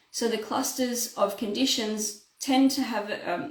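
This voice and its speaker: Audible room echo around a woman's voice with ordinary pitch variation. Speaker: naturopath. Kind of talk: health talk to camera. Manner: fast.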